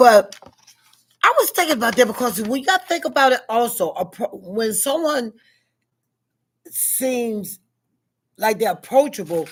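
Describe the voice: A woman with a fairly high pitch speaks at a fairly slow pace, leaving long, frequent pauses, her voice carrying a slightly husky edge. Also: lively intonation.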